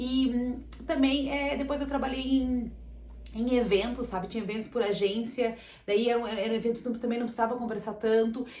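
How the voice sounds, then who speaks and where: Audible room echo carries an animated voice moving at a fairly quick pace. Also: woman, high pitch for a woman. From Brazil. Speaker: vlogger. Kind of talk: casual chat. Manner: fast.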